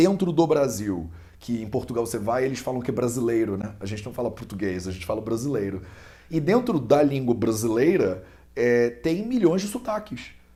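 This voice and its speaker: A man's somewhat breathy, dark, mellow voice in a Carioca accent, with lively intonation at a moderate pace and audible room echo. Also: medium pitch for a man. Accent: clear carioca. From Brazil, Rio de Janeiro. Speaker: Ayurveda student and teacher. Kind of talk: interview explanation. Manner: conversational with hesitations.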